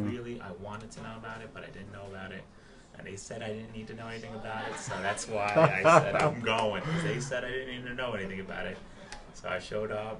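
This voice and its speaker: A man speaks at a very fast pace in a medium pitch with ordinary pitch variation. His loudness swings greatly over noticeable background noise. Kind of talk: interview answer, personal faith testimony. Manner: soft-spoken.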